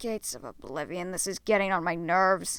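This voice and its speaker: A woman puts on a character voice at a medium pitch. She speaks at a fairly quick pace. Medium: read story. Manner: blunt, commanding.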